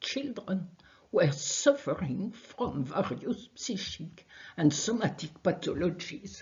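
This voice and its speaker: A woman speaks very slowly in a French accent, her voice somewhat breathy. Her pitch swings very widely. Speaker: research scientist. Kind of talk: conference talk. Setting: video call.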